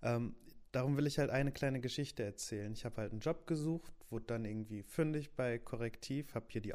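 With an unremarkable speaking voice, a man delivers his words fairly quickly, his pitch medium and its variation ordinary. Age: 20s. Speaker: youth newsroom editor. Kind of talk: casual podcast introduction. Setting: home office.

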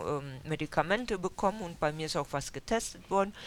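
A woman speaks in a normal speaking voice at a fairly low pitch. Her pace is fairly quick, with ordinary pitch variation. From Germany, Westphalia (Dülmen). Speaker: historian researcher, author. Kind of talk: interview at a book event. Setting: bookshop with audience.

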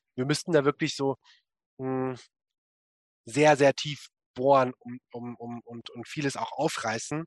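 With a medium pitch and fairly even intonation, a man speaks at a very slow pace, taking long, frequent pauses and showing big swings in loudness, in a dry, close sound with no echo. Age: 20s. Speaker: writer and activist on masculinity. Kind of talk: interview.

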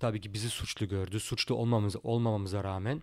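Very fast and medium in pitch, a man speaks on a very clean recording with a silent background. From Germany, Turkish family. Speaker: professional boxer. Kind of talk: interview. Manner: hesitant, many fillers.

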